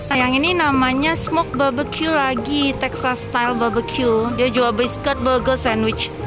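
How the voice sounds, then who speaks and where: Clear music plays in the background of a dry recording with no echo as the speaker goes at a fairly slow pace. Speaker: place vlogger. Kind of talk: casual vlog commentary. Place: street. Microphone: phone near.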